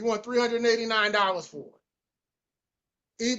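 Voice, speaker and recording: A man speaks. His pitch is extremely high. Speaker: sneaker restoration youtuber hosting a solo podcast. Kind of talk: casual solo podcast walkthrough of listings. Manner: fast.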